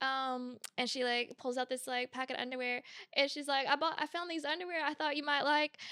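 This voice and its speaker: A woman with an American accent talks at a fairly quick pace in a raised, projected voice, her high pitch and bright, sharp tone captured in a dry, close recording with no echo. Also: fairly even intonation. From US South, Georgia. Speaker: podcast host. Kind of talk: casual chat.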